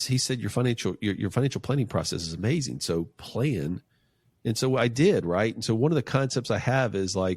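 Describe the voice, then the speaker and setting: A man with an American accent talks at a moderate pace with ordinary pitch variation. It is a normal speaking voice on a very clean recording with a silent background. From North Carolina, US South. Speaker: financial planner and entrepreneur. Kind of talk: podcast interview. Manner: casual, with frequent fillers and restarts.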